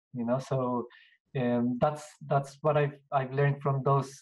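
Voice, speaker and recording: A man with a Spanish accent talks at a fairly slow pace in a somewhat breathy voice with monotone, flat intonation. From Colombia (Bogota). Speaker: business owner. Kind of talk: interview.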